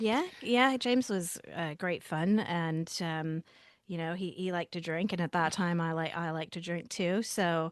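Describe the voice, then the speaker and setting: A woman's normal speaking voice, fairly low-pitched with ordinary pitch variation, in an American accent at a fairly slow pace against a quiet background. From US, Pittsburgh, Pennsylvania. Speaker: podcast guest, wife of a host. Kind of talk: casual interview.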